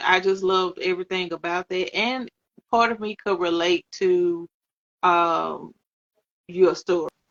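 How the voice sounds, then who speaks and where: A woman speaks in a Southern US accent. Her pace is very slow and her pitch medium. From US South. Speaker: author and interview host. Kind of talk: casual interview chat. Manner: relaxed, words run together.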